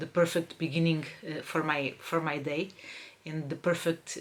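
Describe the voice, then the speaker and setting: A woman speaks with a Portuguese accent, her voice very deep and low in pitch, her intonation fairly even. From Portugal, Lisbon. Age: 40s. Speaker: crafts podcaster. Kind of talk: casual podcast monologue. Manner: hesitant, many fillers.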